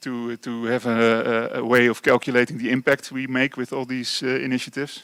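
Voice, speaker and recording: A man with a Dutch accent speaks in a flat monotone, the sound dry and close with no echo. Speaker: construction company engineer / presenter. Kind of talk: lecture. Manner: halting, many fillers.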